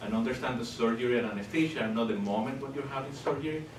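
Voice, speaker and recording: A man speaks with a Spanish accent and ordinary pitch variation. Noticeable background noise and audible room echo surround him. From Venezuela. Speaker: professor of anesthesiology. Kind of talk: lecture. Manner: hesitant, with frequent fillers.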